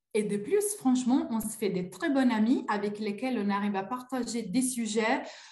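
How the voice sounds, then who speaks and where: With an Italian accent and a fairly high pitch, a woman speaks at a moderate pace with hardly any pauses and ordinary pitch variation, amid audible room echo and noticeable background noise. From Italy. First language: Italian (speaking French). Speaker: coaching client. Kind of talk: testimony. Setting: live video call. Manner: hesitant, many fillers.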